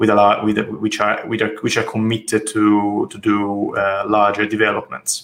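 A man's fairly low voice with an Italian accent, monotone and flat in intonation, fairly slow in pace with hardly any pauses and big swings in loudness. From Italy, Tuscany. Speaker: architect. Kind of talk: interview. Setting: call.

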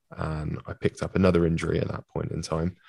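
A man speaks in a British accent at a fairly quick pace. His pitch is very deep and low. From UK. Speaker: physiotherapist and former mixed martial artist. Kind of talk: interview conversation.

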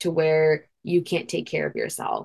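A woman speaks at a moderate pace with an American accent. Her pitch sits fairly low. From Queens, New York. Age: young. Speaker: non-profit founder and college student. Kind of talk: interview.

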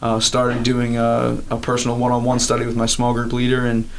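A man with an American accent talks at a fairly quick pace and a medium pitch. Audible room echo and noticeable background noise fill the recording. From Maryland, US (Elkton). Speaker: college student, campus ministry leader. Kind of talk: interview. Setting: on campus.

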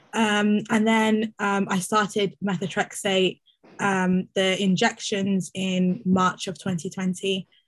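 A woman speaks at a very slow pace in a somewhat breathy voice. Her intonation stays monotone and flat. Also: medium pitch for a woman. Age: 20s. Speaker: arthritis patient. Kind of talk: casual chat. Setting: video call.

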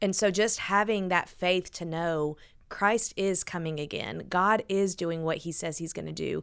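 A woman with an American accent and a normal speaking voice, fairly low pitch, fairly even intonation and fairly slow pace, on a very clean recording with a silent background. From US South, Huntsville, Alabama. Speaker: church guest services director. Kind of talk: casual chat.

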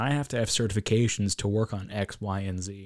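In a very clean recording with a silent background, a man with an American accent and an unremarkable speaking voice talks at a moderate pace and fairly low pitch. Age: 20s. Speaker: university student. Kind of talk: casual chat.

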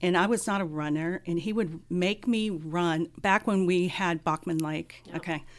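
On a very clean recording with a silent background, a woman speaks at a fairly low pitch with fairly even intonation. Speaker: counselor and former narcotics officer. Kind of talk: casual interview. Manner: soft-spoken.

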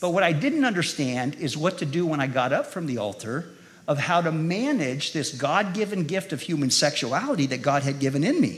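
In an ordinary speaking voice with an American accent, the speaker moves at a fairly quick pace with lively intonation. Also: man, fairly high pitch for a man. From California (Modesto). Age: 50s. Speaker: guest preacher. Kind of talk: sermon. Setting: church with live audience.

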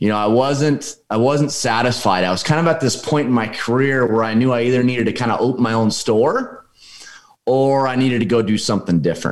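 Here is a man with a normal speaking voice, medium in pitch and at a fairly quick pace. His loudness stays very even, with ordinary pitch variation. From US Pacific Northwest, Oregon. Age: 40s. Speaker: real estate investor and business coach. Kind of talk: casual interview conversation.

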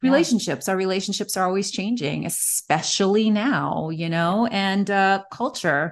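A woman's normal speaking voice at a moderate pace, with ordinary pitch variation, hardly any pauses, and a quiet background. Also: medium pitch for a woman. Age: 40s. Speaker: magazine publisher and editor. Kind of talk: casual interview chat.

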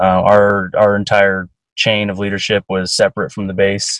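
An ordinary speaking voice from a man with an American accent, fairly low in pitch, at a moderate pace, in a dry, close sound with no echo. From Eastern Oregon, US. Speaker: Air Force radio technician. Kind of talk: casual interview.

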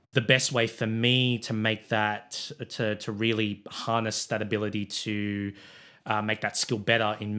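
A man with an Australian accent, fairly low pitch, bright, sharp tone, monotone, flat intonation and a moderate pace. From Sydney, Australia. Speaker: sports club president and production manager. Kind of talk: casual interview chat.

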